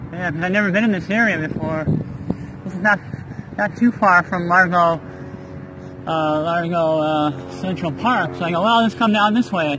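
A man at a high pitch with ordinary pitch variation speaks with long, frequent pauses, the sound dry with no echo amid noticeable background noise. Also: moderate pace. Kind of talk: casual vlog chat. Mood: curious, amused. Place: street. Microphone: phone near.

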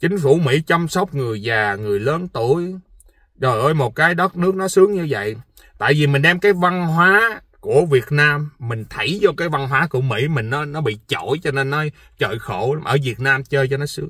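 Dry and without echo, a man's fairly high voice has a bright, sharp tone over a quiet background. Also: fairly slow pace. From Vietnam. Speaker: vlogger. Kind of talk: casual monologue vlog. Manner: animated. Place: car.

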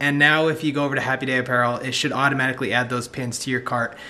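At a very fast pace, a man rattles through his words. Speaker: vlogger, husband and dad. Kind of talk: casual vlog chat. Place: home room. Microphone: phone near.

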